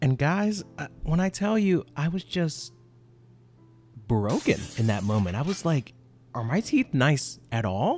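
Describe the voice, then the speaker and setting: Music plays in the background as a man speaks at a fairly slow pace. His pitch swings very widely. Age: 20s. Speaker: podcast host. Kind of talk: casual monologue.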